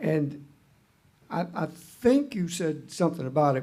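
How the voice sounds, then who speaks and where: A man talks in a Southern US accent at a fairly high pitch. His tone is dark, mellow and somewhat breathy, and his pace fairly slow. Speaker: utility commissioner. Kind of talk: hearing questioning. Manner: halting. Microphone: muffled.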